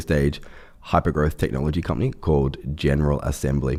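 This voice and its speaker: In an Australian accent, the speaker talks at a fairly quick pace. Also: man. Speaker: startup CEO. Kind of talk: podcast interview. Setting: studio, in person.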